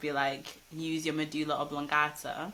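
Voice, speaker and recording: A woman with a Manchester accent, her pitch very deep and low, her intonation monotone and flat. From Manchester, England. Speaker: rapper and poet. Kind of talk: casual interview.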